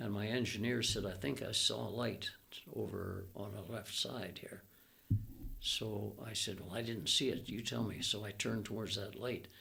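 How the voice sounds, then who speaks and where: This man talks at a moderate pace with a Canadian accent and fairly even intonation. His fairly low voice has vocal fry and a bright, sharp tone. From Alberta, Canada. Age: 80s+. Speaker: retired air force pilot. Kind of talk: interview answer, storytelling.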